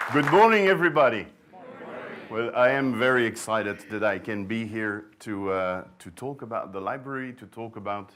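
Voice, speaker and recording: With a Flemish Belgian accent, the speaker uses ordinary pitch variation against noticeable background noise. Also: man, medium pitch for a man, moderate pace, big swings in loudness. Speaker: sourdough librarian, bread expert. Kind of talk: conference talk. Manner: hesitant, many fillers and repeats.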